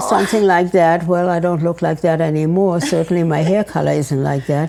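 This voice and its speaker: Over noticeable background noise, the speech runs at a fairly quick pace with very even loudness. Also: woman, fairly low pitch for a woman, ordinary pitch variation. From Germany. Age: 80s+. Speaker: Holocaust survivor. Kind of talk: casual conversation, life story.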